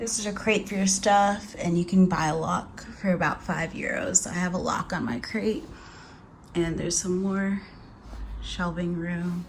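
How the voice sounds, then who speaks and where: A woman at a medium pitch and moderate pace, fairly even in intonation, with noticeable background noise. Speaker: travel vlogger. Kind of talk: casual vlog. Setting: hostel room.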